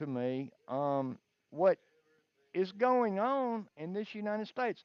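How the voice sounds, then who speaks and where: With a Southern US accent, the speaker talks at a very slow pace. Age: 60s. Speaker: caller. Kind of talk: casual chat.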